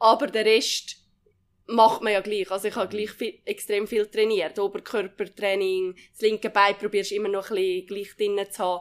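A woman's loudness swings widely. Her intonation stays monotone and flat. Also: medium pitch for a woman, moderate pace. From Switzerland, Uri (Andermatt). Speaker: alpine ski racer. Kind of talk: casual interview. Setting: training centre.

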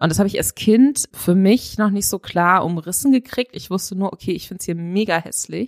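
With hardly any pauses, a woman talks at a fairly quick pace in a normal speaking voice, medium in pitch with ordinary variation, recorded dry and close with no echo. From Upper Franconia, Bayreuth area. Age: 30s. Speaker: journalist. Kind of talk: casual interview.

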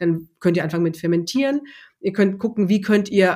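A woman talks at a very fast pace and medium pitch, with ordinary pitch variation. The recording is very clean, the background silent. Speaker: culinary consultant for non-alcoholic drink pairing. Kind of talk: interview conversation. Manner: hesitant with many fillers.

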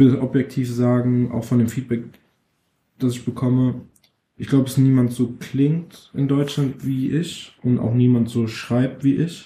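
A man with a medium pitch speaks at a fairly slow pace in a monotone, flat delivery, his tone dark and mellow and somewhat breathy. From Frankfurt, Germany (Nordweststadt). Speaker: rapper. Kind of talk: interview.

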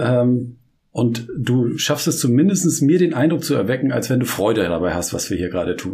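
A man with a dark, mellow, somewhat breathy tone swings his pitch very widely. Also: medium pitch for a man, moderate pace. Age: 40s. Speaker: podcast co-host. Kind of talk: casual chat. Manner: halting.

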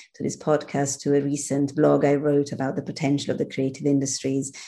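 A woman's very deep, low voice in an Italian accent, dark and mellow in tone, at a moderate pace. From Italy, Milan. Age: 50s. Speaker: social entrepreneur. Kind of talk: interview.

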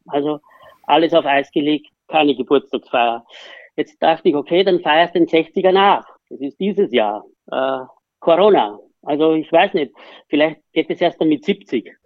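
Pausing long and often, a man with a fairly high pitch speaks at a fairly slow pace with ordinary pitch variation. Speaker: horse racing trainer. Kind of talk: casual interview.

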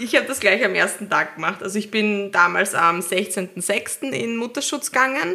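A woman uses a normal speaking voice at medium pitch, keeping a moderate pace with hardly any pauses. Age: 30s. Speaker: new mother, office worker. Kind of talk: casual chat.

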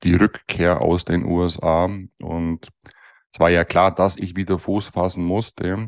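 A man speaks at a fairly slow pace in a very deep, low pitch. The background is quiet. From Bavaria (Allgäu / Bavarian Swabia). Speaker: master dental technician. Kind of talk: interview.

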